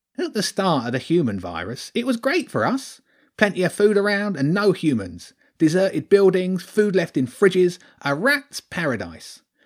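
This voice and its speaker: A man puts on a shrill, whiny character voice, high in pitch for a man, at a moderate pace. The recording is very clean, with a silent background. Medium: read story. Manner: whiny, self-pitying.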